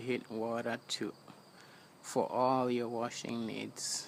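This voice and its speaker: Medium in pitch, a man speaks at a fairly slow pace. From Kenya, Kiambu county. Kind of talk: casual talk to camera. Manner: hesitant, casual.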